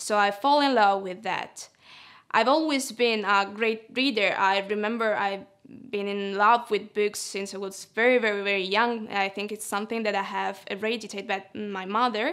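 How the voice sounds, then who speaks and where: At a moderate pace and with fairly even intonation, a woman speaks in an Italian accent against a quiet background. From Italy. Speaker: literary translator. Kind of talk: personal interview monologue. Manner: hesitant, with filler sounds. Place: studio. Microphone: lapel.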